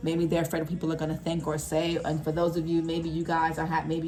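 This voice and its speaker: A woman talks very fast at a fairly low pitch. Audible room echo and noticeable background noise surround her voice. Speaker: tarot reader. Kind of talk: tarot reading. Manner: casual.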